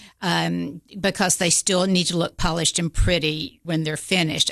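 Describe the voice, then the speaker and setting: A woman's fairly low, bright, sharp voice with vocal fry, at a moderate pace. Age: 60s. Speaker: seamstress and theater costumer. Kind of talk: casual interview. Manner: hesitant with fillers.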